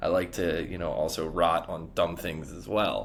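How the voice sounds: A man's low-pitched voice with vocal fry, moderate pace and fairly even intonation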